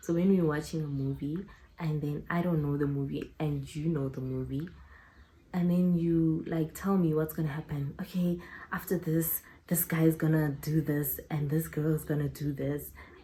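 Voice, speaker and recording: A woman's very deep, low voice, dark, mellow and somewhat breathy, moves at a moderate pace. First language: not English. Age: 20s. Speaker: YouTuber. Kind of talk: casual vlog Q&A. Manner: animated.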